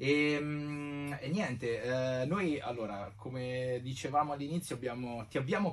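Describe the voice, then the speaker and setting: This is a man speaking. His pace is very slow. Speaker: podcast host. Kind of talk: casual chat.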